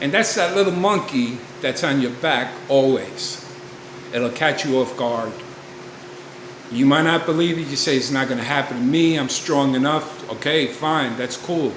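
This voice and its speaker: With audible room echo and noticeable background noise, a man talks in a fairly high pitch with ordinary pitch variation. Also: moderate pace. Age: 60s. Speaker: recovery vlogger. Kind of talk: personal testimony. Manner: casual, conversational.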